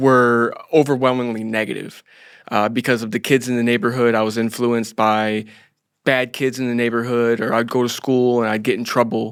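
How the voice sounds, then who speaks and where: On a very clean recording with a silent background, a man with an American accent speaks at a moderate pace and medium pitch, in a monotone, flat intonation. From Florida, US. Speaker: former cybercriminal. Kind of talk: interview. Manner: halting.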